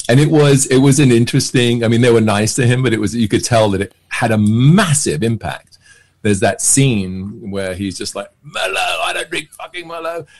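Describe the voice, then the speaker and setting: A man with a southern English accent and lively intonation. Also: moderate pace. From England, near London. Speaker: actor and magician; actor. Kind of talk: casual chat. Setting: podcast interview. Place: home room. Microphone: webcam.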